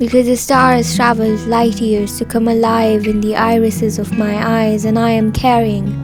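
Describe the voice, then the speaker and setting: Music plays behind a woman who talks at a moderate pace with hardly any pauses. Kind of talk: poetry reading.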